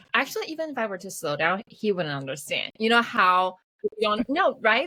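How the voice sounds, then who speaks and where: Dry and close with no echo, a woman with a Mandarin accent speaks at a fairly quick pace and medium pitch, her pitch swinging very widely. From Taiwan. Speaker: podcast host. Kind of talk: casual chat. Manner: fast.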